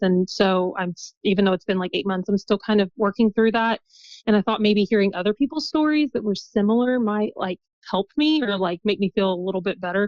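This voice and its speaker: A medium-pitched woman at a fairly quick pace, with ordinary pitch variation. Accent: Midwestern. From US Midwest, southern Indiana. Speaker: guest, mother sharing birth story. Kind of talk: podcast interview.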